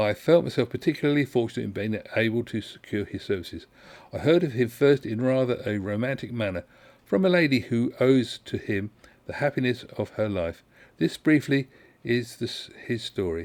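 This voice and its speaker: The recording is very clean, with a silent background. A man at medium pitch speaks fairly quickly with lively intonation. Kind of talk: ASMR book reading. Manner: soft-spoken, calm.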